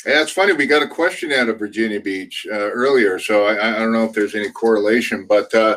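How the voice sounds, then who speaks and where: Speaking at a very fast pace with hardly any pauses, a man with an American accent uses ordinary pitch variation. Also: medium pitch for a man. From California. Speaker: product demo show host. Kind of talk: casual chat. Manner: hesitant, many fillers.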